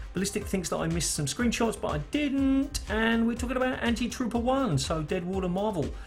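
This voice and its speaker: Music can be heard in the background. The talking goes at a fairly quick pace. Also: hardly any pauses. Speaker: gaming news show host. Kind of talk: casual video commentary. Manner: fast.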